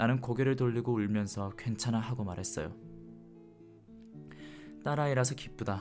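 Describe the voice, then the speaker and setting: Over music in the background, a man speaks at a fairly quick pace in a calm tone. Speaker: audiobook narrator. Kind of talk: audiobook reading. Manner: calm, soft-spoken.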